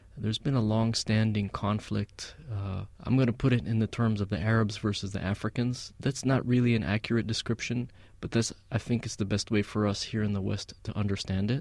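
A man with an American accent has a plain, everyday voice, fairly low in pitch with fairly even intonation. He talks at a fairly quick pace with hardly any pauses in a very clean recording with a silent background. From Palestinian American. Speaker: musician. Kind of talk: casual interview. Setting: studio.

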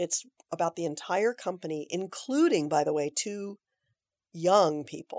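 With an ordinary speaking voice at a medium pitch, a woman speaks at a moderate pace with ordinary pitch variation, her sound dry and close with no echo in a very clean recording with a silent background. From US West Coast, Aptos, California. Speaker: theater director. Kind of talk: interview.

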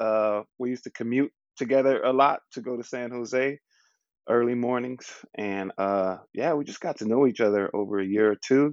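An ordinary speaking voice, a man's at medium pitch, talks at a moderate pace with an American accent. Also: ordinary pitch variation. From Southern California and Louisiana. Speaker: rapper and beatboxer. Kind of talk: casual chat.

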